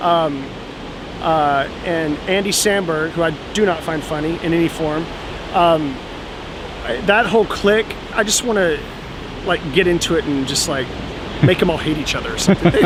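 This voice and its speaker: A high-pitched man with a Kentucky accent, long, frequent pauses and noticeable background noise. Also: ordinary pitch variation, moderate pace. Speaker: comedian. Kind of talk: interview.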